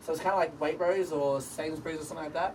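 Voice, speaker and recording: A man's very fast speech in an Australian accent, with fairly even intonation, over noticeable background noise. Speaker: sales team member giving promotion speech. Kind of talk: informal speech to colleagues. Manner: casual, filler-heavy.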